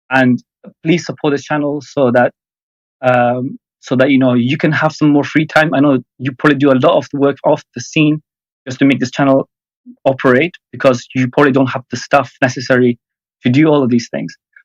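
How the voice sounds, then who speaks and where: Monotone, flat intonation at a fairly quick pace, in an Iranian accent. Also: man, medium pitch for a man. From Afghanistan. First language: Farsi. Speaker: caller. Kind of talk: casual chat. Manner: halting.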